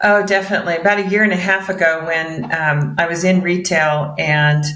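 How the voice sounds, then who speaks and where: A woman talks at a moderate pace with ordinary pitch variation, and audible room echo surrounds her voice. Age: 60s. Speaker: mortgage broker. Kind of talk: interview.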